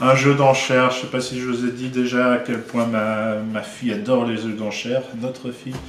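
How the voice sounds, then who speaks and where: Noticeable background noise and audible room echo surround a man's voice. He speaks at a medium pitch and a moderate pace with fairly even intonation. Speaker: board game publisher. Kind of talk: casual video presentation. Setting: office. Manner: hesitant, many fillers.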